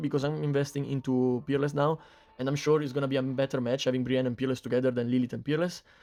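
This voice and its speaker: At a very fast pace, a man speaks with a non-native accent and a fairly high pitch. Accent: non-native English accent, self-described. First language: not English. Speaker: mobile game YouTuber. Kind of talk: game guide commentary. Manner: casual, filler-heavy.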